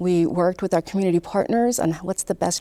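In a very clean recording with a silent background, a woman speaks at a medium pitch with a dark, mellow tone. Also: dry, close sound with no echo. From Southern California (born in Pakistan). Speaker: city government official. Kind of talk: interview.

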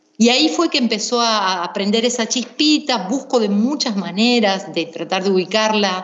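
Noticeable background noise sits behind a woman's voice. She speaks with lively intonation, very even loudness and hardly any pauses. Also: fairly high pitch for a woman, moderate pace. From Misiones, Argentina. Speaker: singer-songwriter and singing teacher. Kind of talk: interview.

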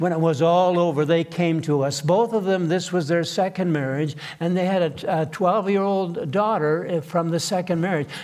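With hardly any pauses, a man talks at a moderate pace in a high voice, his tone warm and animated and his loudness very even. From Manitoba, Canada. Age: 80s+. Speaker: pastor. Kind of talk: sermon. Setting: church. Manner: warm, humorous, animated.

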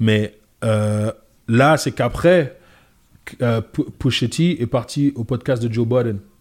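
A man talks at a medium pitch with ordinary pitch variation. His very slow pace holds long, frequent pauses, on a very clean recording with a silent background. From France, Paris suburbs (Goussainville). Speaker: comedian. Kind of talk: casual chat.

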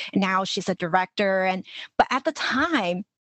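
Here is a woman with an unremarkable speaking voice at a medium pitch. Her intonation is lively. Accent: American. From Los Angeles, US. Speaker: life coach. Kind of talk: interview conversation.

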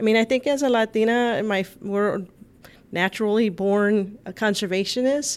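With an American accent, a woman uses an ordinary speaking voice at a fairly high pitch, speaking at a moderate pace with fairly even intonation. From US South, Texas, south side of San Antonio. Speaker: environmental advocacy organizer. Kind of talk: radio talk show interview. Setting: studio.

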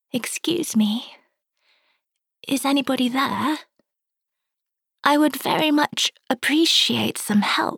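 A woman's put-on character voice, squeaky and high in pitch, at a fairly slow pace with long, frequent pauses. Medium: read story. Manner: polite, formal.

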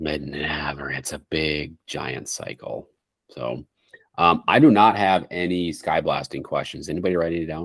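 A man with a very deep, low pitch and vocal fry speaks with big swings in loudness. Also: ordinary pitch variation, moderate pace. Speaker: podcast host, bird hunter. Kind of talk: casual chat.

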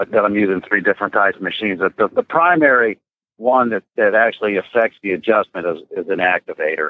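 A man's fairly low, fairly quick delivery in an ordinary speaking voice. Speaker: veterinarian. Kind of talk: interview.

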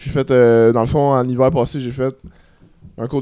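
Fairly even intonation in a medium-pitched male voice. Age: 20s. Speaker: comedian. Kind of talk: casual chat.

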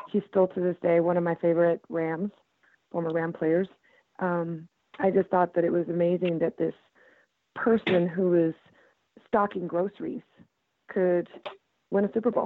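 Woman's fairly low voice at a moderate pace, fairly even intonation, long, frequent pauses. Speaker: football fan. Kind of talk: casual chat. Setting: phone call.

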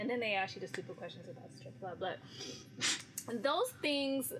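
With an American accent, a woman talks at a moderate pace, her pitch swinging very widely over noticeable background noise. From California. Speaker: radio personality. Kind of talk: casual interview chat.

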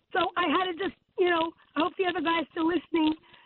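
A woman is talking. Her pace is fairly quick. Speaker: caller. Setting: phone call.

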